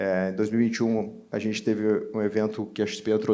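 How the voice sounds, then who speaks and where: Speaking with a gaúcho accent, a man talks at a fairly quick pace in a fairly low pitch, with a dark, mellow tone and audible room echo. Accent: Brazilian interior accent (gaúcho). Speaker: entrepreneur, panelist. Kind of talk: panel discussion.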